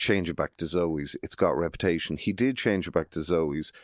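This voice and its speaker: With a western Irish accent, a man uses a very deep, low pitch and ordinary pitch variation on a very clean recording with a silent background. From Galway, west of Ireland. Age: 50s. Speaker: music promoter. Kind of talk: casual interview.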